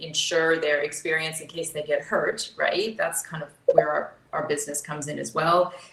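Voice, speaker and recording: In an American accent, a woman with a very deep, low voice talks at a moderate pace over noticeable background noise. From US South. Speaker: insurance executive, panellist. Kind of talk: panel discussion.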